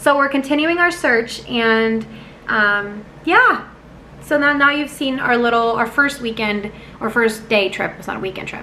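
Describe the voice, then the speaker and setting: Audible room echo surrounds the voice. A woman speaks with a high pitch at a fairly slow pace. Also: ordinary pitch variation. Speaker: vlogger. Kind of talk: vlog talk to camera.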